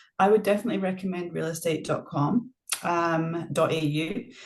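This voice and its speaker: In a Scottish accent, a woman with a fairly low voice speaks at a fairly slow pace with ordinary pitch variation. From Scotland. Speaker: property manager. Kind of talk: interview.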